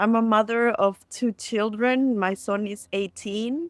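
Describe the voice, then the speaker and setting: Someone with a Latin American accent talks at a very slow pace with ordinary pitch variation. The sound is dry and close with no echo, on a very clean recording with a silent background. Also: woman. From Costa Rica. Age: 40s. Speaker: storyteller and community builder. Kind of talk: podcast interview.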